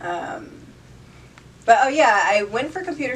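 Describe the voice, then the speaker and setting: With an American accent, a woman talks at a fairly slow pace and swings her pitch very widely. Audible room echo and noticeable background noise fill the recording. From northeastern Pennsylvania (Poconos). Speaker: college student and model. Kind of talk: casual interview. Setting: radio studio.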